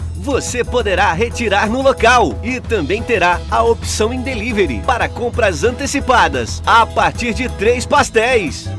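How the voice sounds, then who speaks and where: A man speaks at a fairly slow pace with hardly any pauses while music plays in the background. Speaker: radio announcer and reporter. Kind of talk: radio commercial announcement.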